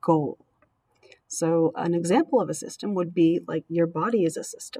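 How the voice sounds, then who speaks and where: A woman's dark, mellow tone comes through in a dry, close sound with no echo. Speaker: teacher. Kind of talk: lecture. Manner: fast.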